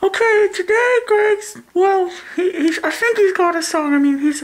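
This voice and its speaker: A woman uses a put-on character voice. Her intonation is lively. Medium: comedy sketch. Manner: stammering, forgetful.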